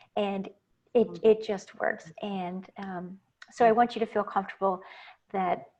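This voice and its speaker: Here a woman speaks in an ordinary speaking voice. Her pitch is medium, with ordinary variation. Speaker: wellness coach. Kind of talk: online masterclass.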